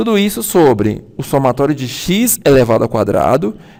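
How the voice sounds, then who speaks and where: A man is speaking. His pitch swings very widely. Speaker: university lecturer. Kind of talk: lecture. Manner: fast.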